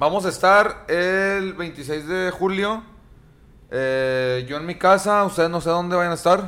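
Against noticeable background noise, a man with a high voice talks at a very slow pace with ordinary pitch variation. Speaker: podcast host. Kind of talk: casual chat.

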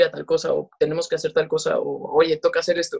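The speaker has a Mexican accent. The pace is fairly quick. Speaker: podcast co-host. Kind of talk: casual chat.

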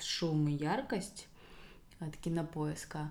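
A woman talks at a very slow pace. Her voice carries audible room echo. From Russia, Rostov region (Belaya Kalitva). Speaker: podcast co-host. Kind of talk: casual interview chat.

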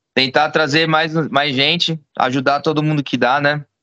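A man speaks at a fairly high pitch with a bright, sharp tone and monotone, flat intonation. His moderate pace comes through in a dry, close sound with no echo. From São Paulo state, Brazil. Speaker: jiu-jitsu gym owner. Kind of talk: casual chat.

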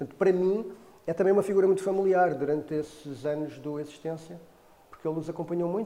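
Very fast speech from a man, noticeable background noise behind it. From Portugal, Cacém near Lisbon. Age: 50s. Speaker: theatre artist and former journalist. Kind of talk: interview monologue. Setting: in front of a camera. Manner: halting, with many repetitions and fillers.

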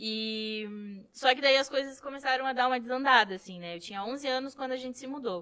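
A woman with a high pitch projects a raised voice in a bright, sharp tone, her pitch varying in an ordinary way. Her loudness swings widely and she hardly pauses. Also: fairly quick pace. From Rio Grande do Sul, São Borja (western border). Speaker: photographer. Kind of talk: casual chat.

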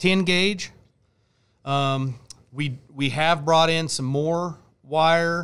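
A man with a Midwestern US accent speaks very slowly in a high voice with ordinary pitch variation, on a very clean recording with a silent background. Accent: US Midwest. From Kansas. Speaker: battery company rep and bass angler. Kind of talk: podcast interview. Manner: halting, frequent fillers.

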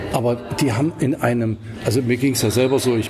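A man's intonation stays fairly even while noticeable noise runs in the background. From Swabia, southern Germany. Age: 50s. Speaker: documentary filmmaker. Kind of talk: interview.

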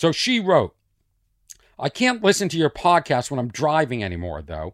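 An animated man with vocal fry and very wide pitch swings, a dry, close sound with no echo, and a very clean recording with a silent background. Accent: Boston. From Boston. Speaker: comedian. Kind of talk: casual monologue, comedic storytelling. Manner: animated, rambling.

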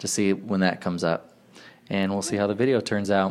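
With an ordinary speaking voice, a man talks at a fairly quick pace, his fairly low pitch moving with fairly even intonation. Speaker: podcast host. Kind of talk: casual chat interview. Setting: recorded with headsets onto a phone.

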